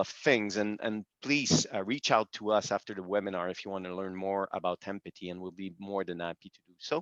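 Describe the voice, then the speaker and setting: A man with a Quebec accent talks at a fairly quick pace in a dry, close sound with no echo over a quiet background. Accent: French-Canadian accent in English. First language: French. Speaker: business executive. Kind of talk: webinar presentation. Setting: video call. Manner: halting, many fillers.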